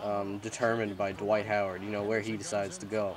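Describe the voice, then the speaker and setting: Noticeable background noise sits under a man who speaks at a moderate pace. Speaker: gaming commentator. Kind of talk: casual gameplay commentary.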